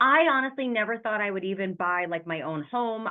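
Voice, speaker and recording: With an American accent, a woman talks at a very fast pace and her pitch varies an ordinary amount. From New York. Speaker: real estate investor. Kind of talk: interview.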